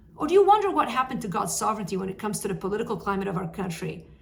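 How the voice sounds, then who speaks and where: There is audible room echo around the woman's voice. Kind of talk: devotional talk to camera. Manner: fast; casual, conversational.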